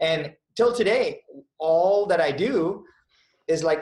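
This man's voice is somewhat breathy. He shows ordinary pitch variation. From India. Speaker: business executive. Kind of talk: interview.

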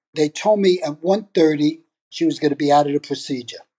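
A man with a New York accent and fairly high pitch, dark, mellow tone, ordinary pitch variation and moderate pace, in a dry, close sound with no echo over a quiet background. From New York (Brooklyn). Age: 70s. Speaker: retired father sharing his story. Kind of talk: personal storytelling.

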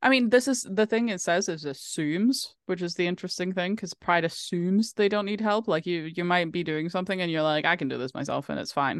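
The speaker has a Norwegian accent. There are hardly any pauses. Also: woman, fairly low pitch for a woman, ordinary pitch variation, fairly quick pace. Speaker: podcast co-host. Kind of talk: casual chat.

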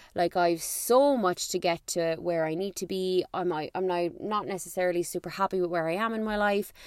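Hardly pausing, a woman with an Irish accent talks fairly quickly in an animated tone at a medium pitch. The sound is dry and close, with no echo. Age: 30s. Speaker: podcast host. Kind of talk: casual chat.

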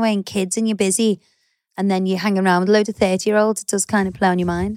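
A woman with an English accent speaks in a playful tone on a very clean recording with a silent background. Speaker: podcast co-host. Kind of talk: casual chat. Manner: playful, laughs often.

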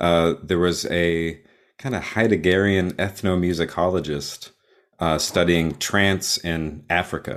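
A man with an American accent speaks at a very deep, low pitch with fairly even intonation, in a very clean recording against a silent background. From Texas. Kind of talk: casual interview conversation.

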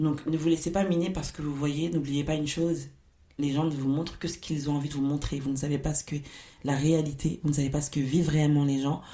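Talking at a very fast pace, this woman has a very deep, low pitch, a dark, mellow tone, and monotone, flat intonation. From Paris suburbs, France. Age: 20s. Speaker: podcast host. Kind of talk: solo podcast monologue.

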